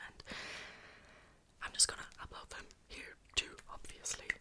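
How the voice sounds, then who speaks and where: Someone is whispering at a moderate pace. Noticeable background noise is present. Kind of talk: ASMR whisper ramble. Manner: whispered, soft-spoken.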